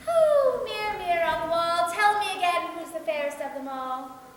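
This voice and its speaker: Using a put-on character voice, a woman speaks squeaky and at an extremely high pitch, with lively intonation at a moderate pace and strong echo. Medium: read story. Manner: haughty, bossy.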